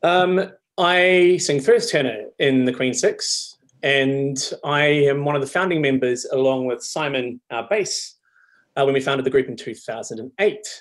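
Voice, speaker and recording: With a New Zealand accent, a man talks at a fairly slow pace in a fairly high pitch, his intonation lively. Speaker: choral singer. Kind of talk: casual introduction on video.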